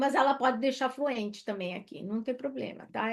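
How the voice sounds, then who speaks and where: This woman speaks with a high pitch. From Brazil. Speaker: career coach. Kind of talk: live online workshop, resume review. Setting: live stream. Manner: animated.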